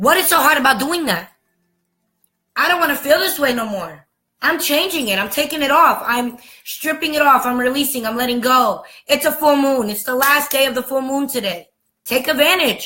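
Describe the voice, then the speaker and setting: A woman speaks in a raised, projected voice with an American accent. Her tone is bright and sharp, her pitch high and her intonation lively. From United States. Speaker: spiritual vlogger. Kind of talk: monologue rant. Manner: animated; fast.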